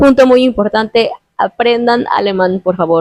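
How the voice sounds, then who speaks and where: A woman with a Mexican accent speaks at a fairly slow pace, in a dry, close sound with no echo. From Mexico. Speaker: YouTuber interviewing a guest. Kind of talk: casual interview conversation.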